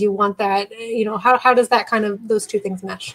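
With an unremarkable speaking voice, a woman talks at a moderate pace and a fairly high pitch with ordinary pitch variation. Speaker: school psychologist and podcast host.

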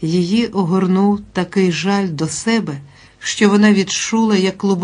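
Here is an unforced reading voice. Its intonation is fairly even.

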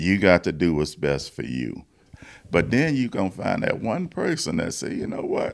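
A man with a Louisiana accent at a moderate pace. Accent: US South (Louisiana). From Louisiana, Baton Rouge. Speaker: blues musician. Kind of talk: interview.

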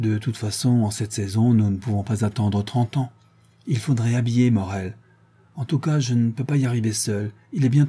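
Someone reads aloud. The voice is unforced.

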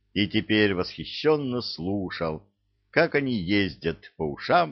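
Someone reads aloud plainly over a quiet background.

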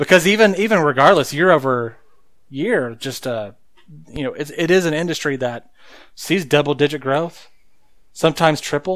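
On a very clean recording with a silent background, a man with a fairly high pitch speaks at a moderate pace with lively intonation and long, frequent pauses. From rural Oklahoma. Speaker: podcast co-host. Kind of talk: casual chat. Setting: studio.

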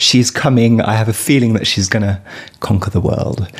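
Through noticeable background noise comes a man's voice at medium pitch. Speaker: podcast host. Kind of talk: interview chat about music.

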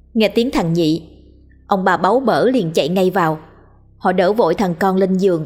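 The speaker does a plain reading aloud with ordinary pitch variation.

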